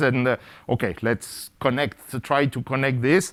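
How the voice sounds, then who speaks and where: The pace of the talking is moderate. Behind it is a silent background on a very clean recording. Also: man. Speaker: physics professor. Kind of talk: lecture. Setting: lecture hall with live audience. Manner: speeds up over time.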